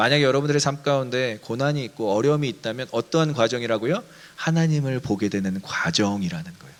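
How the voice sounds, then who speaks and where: Speech moves at a very fast pace. The pitch variation is ordinary. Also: man, medium pitch for a man. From Daejeon, Chungcheong, South Korea. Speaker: pastor. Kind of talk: sermon. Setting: online church service.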